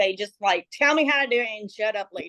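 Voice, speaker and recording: The woman's pitch is fairly high, with ordinary variation. Her sound is dry and close, without echo. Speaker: social media trainer. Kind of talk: training session on a video call. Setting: video call. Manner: fast.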